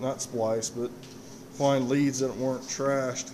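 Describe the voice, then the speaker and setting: A man speaking fairly slowly in a flat monotone, with noticeable background noise. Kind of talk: casual walk-through tour. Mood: modest, apologetic. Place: workshop. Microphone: phone near.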